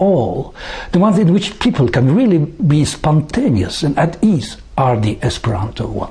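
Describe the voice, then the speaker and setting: High male voice swinging very widely in pitch, over noticeable background noise. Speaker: former UN translator and psychologist. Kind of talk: prepared talk to camera. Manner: formal.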